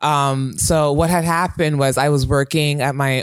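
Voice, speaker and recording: A man speaks at a moderate pace with fairly even intonation. He has a plain, everyday voice. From Toronto, Canada. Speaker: customer service worker. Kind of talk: casual chat. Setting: studio.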